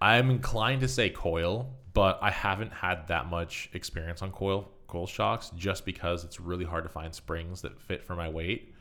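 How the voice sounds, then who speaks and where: Speaking with an American accent, a man with a very deep, low pitch and a bright, sharp tone keeps a moderate pace, ordinary pitch variation and hardly any pauses. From US West Coast, Marin County, California. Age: 20s. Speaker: mountain bike content creator. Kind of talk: casual chat.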